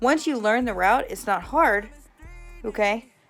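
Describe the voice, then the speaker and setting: The delivery is animated in tone. Music plays in the background. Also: woman. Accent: American. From US Midwest. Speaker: mail carrier vlogger. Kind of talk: casual vlog.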